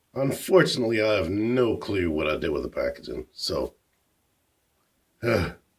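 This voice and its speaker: A man's somewhat breathy voice moves at a moderate pace. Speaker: toy reviewer. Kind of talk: product review.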